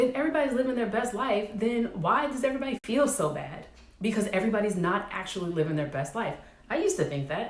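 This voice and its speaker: The voice is somewhat breathy and swings very widely in pitch at a moderate pace, with audible room echo. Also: woman. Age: 30s. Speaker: vlogger, military veteran. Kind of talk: personal vlog monologue.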